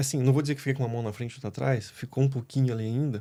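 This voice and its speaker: A man speaks very fast at a medium pitch, his intonation fairly even and his tone dark and mellow. The recording is very clean, with a silent background. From Brazil, Curitiba (Paraná). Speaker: pool worker interviewed on a podcast. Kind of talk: casual interview chat.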